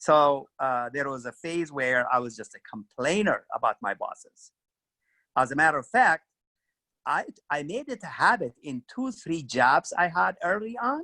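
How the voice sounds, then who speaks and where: With an Ethiopian accent, a man's bright, sharp voice, fairly high in pitch, makes very wide pitch swings at a moderate pace in a dry, close sound with no echo. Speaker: career club co-host. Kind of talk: career advice talk.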